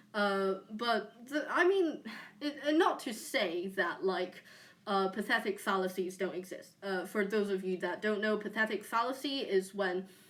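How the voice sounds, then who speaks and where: In a British accent, a woman speaks at medium pitch with ordinary pitch variation. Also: fairly slow pace. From UK. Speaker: streamer. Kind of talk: casual chat. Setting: live stream on camera. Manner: halting, many fillers.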